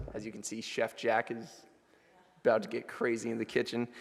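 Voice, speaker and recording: A man is speaking. His pitch sits in the medium range. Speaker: college student sharing trip reflection. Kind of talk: chapel presentation. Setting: church chapel with audience. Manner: casual, loosely improvised.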